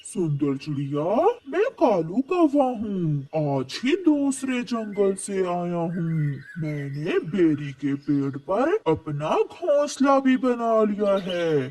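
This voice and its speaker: A cartoonish character voice at a middle pitch swings very widely up and down. It moves at a very slow pace. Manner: eager, ingratiating.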